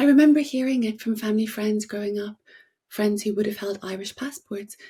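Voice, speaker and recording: Talking very fast with an English accent, a woman has a fairly high pitch and a dark, mellow, somewhat breathy tone. The recording is very clean, with a silent background. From Northern Ireland, Belfast. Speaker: playwright and novelist. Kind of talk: reading aloud a prepared essay. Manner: formal.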